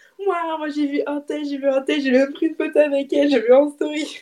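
Talking at a fairly quick pace, a woman has a high pitch and a dark, mellow tone. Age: 20s. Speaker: self-employed friend of the host, guest. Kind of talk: casual storytelling game.

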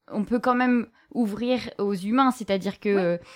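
Speaking at a moderate pace, a woman uses an unremarkable speaking voice with a fairly high pitch and ordinary pitch variation. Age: 30s. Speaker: podcast host and bookseller. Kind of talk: live bookshop interview.

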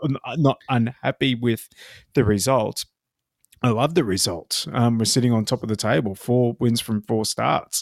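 Recorded very cleanly against a silent background, a man with an Australian accent sounds dry and close, with no echo. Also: medium pitch for a man, ordinary pitch variation, moderate pace. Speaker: rugby league podcast co-host. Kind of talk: casual chat.

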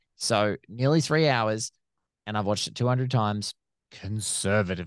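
A man with an Australian accent speaks at a moderate pace, fairly low in pitch with ordinary pitch variation. The sound is dry and close with no echo over a quiet background. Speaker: film critic and podcaster. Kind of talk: casual chat.

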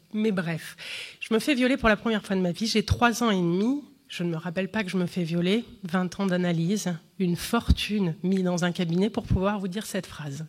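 At a moderate pace and medium pitch, a woman speaks in a plain, everyday voice with ordinary pitch variation, on a very clean recording with a silent background. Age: 30s. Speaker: comedian. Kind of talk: testimony.

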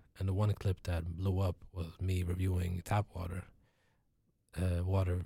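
A man with a very deep, low pitch and a dark, mellow, somewhat breathy tone speaks at a moderate pace in a monotone, flat intonation with long, frequent pauses, in a very clean recording with a silent background. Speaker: entertainer and food critic. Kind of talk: casual interview. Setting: studio.

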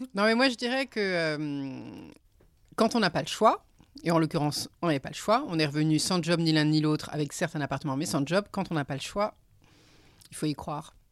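Over a silent background in a very clean recording, a woman with a fairly low pitch and lively intonation speaks at a moderate pace with long, frequent pauses. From Paris, France. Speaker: returned expatriate. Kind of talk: casual chat.

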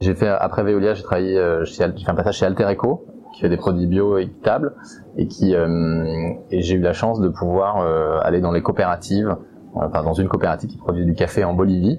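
Very deep, low male pitch at a fairly quick pace, with fairly even intonation over noticeable background noise. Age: 40s. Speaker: entrepreneur. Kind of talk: testimony. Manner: halting.

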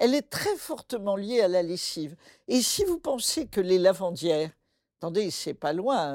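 The woman has a dark, mellow tone and a medium pitch, speaking at a fairly slow pace. The recording is very clean, with a silent background. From French West Africa (born Bamako, Mali). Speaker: folktale scholar. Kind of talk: interview conversation.

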